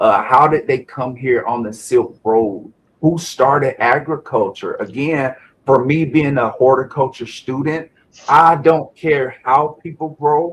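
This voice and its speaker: A somewhat breathy man with a fairly high pitch and a South Carolina accent, at a fairly slow pace with ordinary pitch variation. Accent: Southern US (South Carolina), noticeable. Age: 40s. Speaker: Navy veteran and cannabis grower. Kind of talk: interview testimony.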